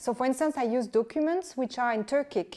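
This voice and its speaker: Speaking with a French accent, a woman has a fairly high pitch, ordinary pitch variation and a dark, mellow tone. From France. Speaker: historian and author. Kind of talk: interview. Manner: halting.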